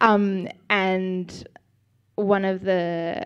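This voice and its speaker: The speaker has an Australian accent. The intonation stays fairly even. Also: woman. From Australia, Sydney. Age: 20s. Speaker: church member giving testimony. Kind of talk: testimony interview. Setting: church service.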